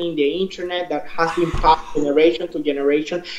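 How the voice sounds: At a fairly quick pace and with fairly even intonation, the voice carries audible room echo. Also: man.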